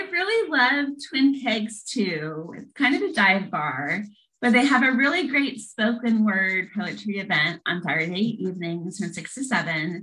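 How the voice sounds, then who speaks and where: In a Midwestern US accent, a woman talks at a fairly slow pace with a fairly high pitch and very wide pitch swings. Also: hardly any pauses. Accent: General American, Midwestern. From US Midwest, Lincoln, Nebraska. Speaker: poet and empowerment coach. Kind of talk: casual interview chat.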